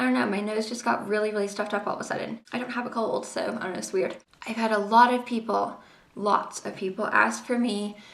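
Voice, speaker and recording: A woman's fairly high voice with fairly even intonation, over noticeable background noise and audible room echo. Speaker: beauty vlogger. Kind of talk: tutorial. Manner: casual, chatty.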